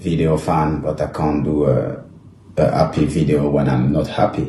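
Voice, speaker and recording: Over noticeable background noise, a man with a French accent speaks in a monotone, flat way at a very deep, low pitch. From France. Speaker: former footballer. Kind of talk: emotional social media monologue to camera.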